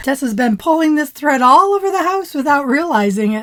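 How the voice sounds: Putting on a cartoonish character voice, a woman talks at a fairly quick pace in a high pitch with very wide pitch swings.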